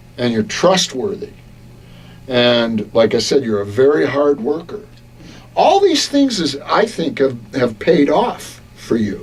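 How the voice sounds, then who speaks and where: Over music in the background, a man with a fairly high pitch speaks at a very slow pace with very wide pitch swings. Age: 60s. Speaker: radio broadcaster and coach. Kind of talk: interview. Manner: hesitant, many fillers.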